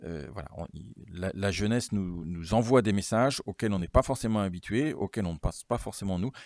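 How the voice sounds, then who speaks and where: A man with an unremarkable speaking voice talks at a moderate pace and a fairly low pitch, with lively intonation. The very clean recording has a silent background and a dry, close sound with no echo. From Normandy, France. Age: 50s. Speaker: regional politician and lawyer. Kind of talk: interview.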